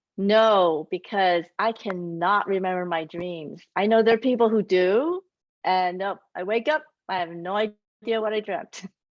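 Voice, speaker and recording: Speaking in a Taiwanese accent, a woman keeps a medium pitch. Her pace is fairly slow, with ordinary pitch variation. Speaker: children's author. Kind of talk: author Q&A.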